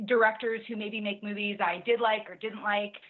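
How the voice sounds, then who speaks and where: With an animated tone, a woman speaks at a medium pitch. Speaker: entertainment TV host and interviewer. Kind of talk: podcast interview. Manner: loud.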